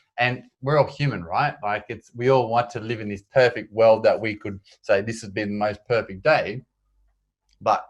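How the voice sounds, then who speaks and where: A man with an Australian accent, medium pitch and fairly even intonation, against a quiet background. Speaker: endurance adventurer and public speaker. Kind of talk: interview.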